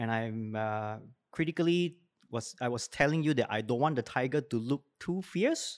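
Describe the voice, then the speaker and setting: A man with a Singaporean accent talks at a moderate pace in a medium pitch with ordinary variation. The recording is very clean, with a silent background. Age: 40s. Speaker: educator. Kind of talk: interview.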